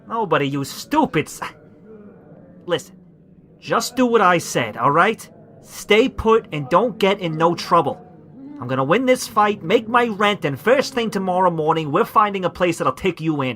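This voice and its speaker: Putting on a gruff character voice, a man speaks at a moderate pace in a high pitch with very wide pitch swings. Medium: audio drama. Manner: gruff, stammering, ungrammatical.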